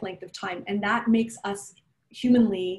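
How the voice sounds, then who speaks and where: Somewhat breathy, a woman talks with ordinary movement in pitch. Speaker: strategic planning facilitator. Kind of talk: conversational professional presentation. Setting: council meeting, remote. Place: home room. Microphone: video call.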